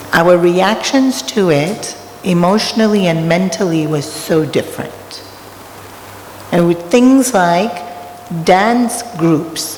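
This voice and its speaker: Speaking very slowly with long, frequent pauses, a woman uses a fairly low pitch and ordinary pitch variation. Noticeable background noise and audible room echo surround her voice. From Australia. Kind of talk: spiritual talk. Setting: temple hall with audience. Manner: conversational.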